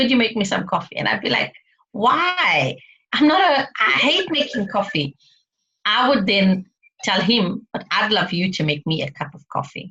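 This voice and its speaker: A woman's animated, bright, sharp voice, fairly high in pitch with very wide pitch swings, at a moderate pace. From South Africa, Indian background. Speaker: speaker and mindset coach. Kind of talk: interview.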